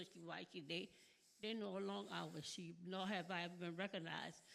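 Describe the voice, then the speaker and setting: Vocal fry marks this woman's medium-pitched voice, which moves at a moderate pace with fairly even intonation. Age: 70s. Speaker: audience member asking a question. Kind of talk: audience question at conference. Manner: halting, repetitive.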